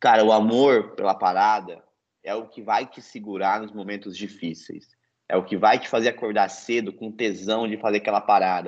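A man's fairly low voice in a flat monotone at a moderate pace, over a quiet background. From Brazil, interior of São Paulo state. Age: 20s. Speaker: Olympic canoeist. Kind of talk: casual interview.

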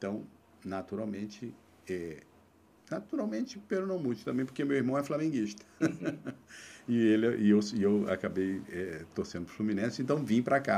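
Lively intonation from a man with a fairly low pitch at a moderate pace, in a very clean recording with a silent background. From Brazil, Mato Grosso do Sul (Três Lagoas, near São Paulo border). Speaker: labour court judge and author. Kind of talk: interview conversation. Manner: halting, many repetitions.

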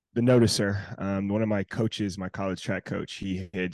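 In a dry, close sound with no echo and a quiet background, a man with an American accent and an unremarkable speaking voice talks at a moderate pace with a fairly low pitch. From North Carolina and southern Indiana. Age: 20s. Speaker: DJ and entrepreneur. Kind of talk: interview.

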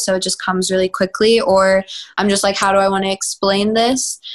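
A woman of medium pitch with an American accent, at a moderate pace. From Texas, Houston. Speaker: pop singer. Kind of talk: interview.

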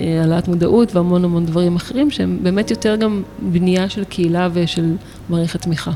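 A woman with an ordinary speaking voice, a fairly low pitch, fairly even intonation and a moderate pace. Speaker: photographer and artist. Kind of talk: interview. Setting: art gallery.

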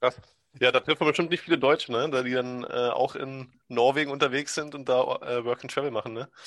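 In a normal speaking voice, the speaker goes at a fairly quick pace with fairly even intonation and a dry, close sound with no echo. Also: man, medium pitch for a man. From Brandenburg, Germany. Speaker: podcast host. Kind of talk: casual chat.

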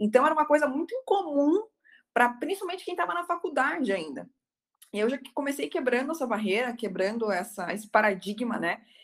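A woman talks at a fairly quick pace. Her high pitch swings very widely. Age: 20s. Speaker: criminal defence lawyer. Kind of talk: webinar talk.

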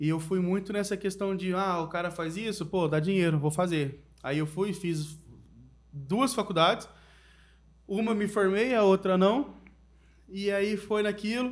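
With long, frequent pauses, a man talks at a fairly slow pace in a high voice. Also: ordinary pitch variation. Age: 30s. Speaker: podcast co-host. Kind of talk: casual chat.

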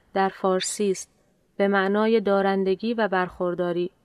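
A woman's medium-pitched, monotone, flat voice at a fairly slow pace. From Iran. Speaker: podcast host. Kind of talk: scripted narration. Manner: formal.

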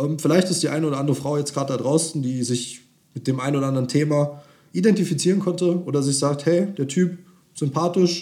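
Talking at a very fast pace, a man uses a fairly high pitch, a dark, mellow tone and ordinary pitch variation. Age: 20s. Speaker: dating coach. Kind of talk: podcast monologue.

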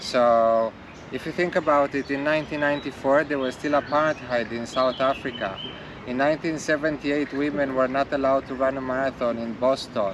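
A man's medium-pitched voice at a moderate pace, with fairly even intonation over noticeable background noise. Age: 40s. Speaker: tech company co-founder. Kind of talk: casual chat.

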